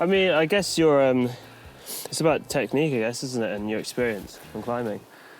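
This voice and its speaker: Amid noticeable background noise, a man of medium pitch speaks at a moderate pace with long, frequent pauses. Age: young. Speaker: mountain bike rider. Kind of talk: casual chat. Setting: outdoors.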